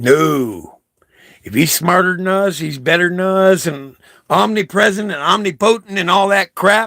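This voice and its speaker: Here a man speaks in an animated tone with a fairly high pitch. His intonation is lively. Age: 60s. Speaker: vlogger. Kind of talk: impassioned monologue. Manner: halting.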